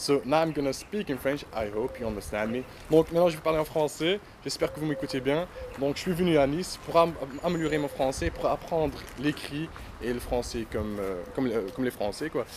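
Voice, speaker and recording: Lively intonation and fairly high pitch from a man, noticeable background noise underneath. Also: fairly quick pace. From Netherlands. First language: Dutch (speaking French). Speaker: language student. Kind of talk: testimonial interview.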